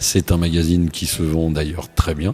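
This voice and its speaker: A man talks at a moderate pace with a very deep, low pitch while music plays in the background. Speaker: radio host. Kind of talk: radio interview.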